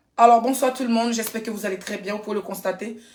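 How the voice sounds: Putting on a character voice, a woman talks very fast at a fairly high pitch, raspy and hoarse.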